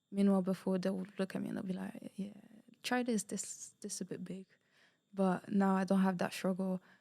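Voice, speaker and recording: A woman with a dark, mellow tone speaks fairly quickly in a flat monotone. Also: medium pitch for a woman. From Portugal. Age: 20s. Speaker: university student. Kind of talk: interview.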